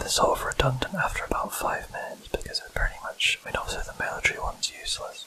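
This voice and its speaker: Very fast whispering over noticeable background noise. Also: hardly any pauses. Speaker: ASMR gaming channel host. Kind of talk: whispered let's play commentary. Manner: hesitant, filler-heavy. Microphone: mic too close to laptop, noise removal applied.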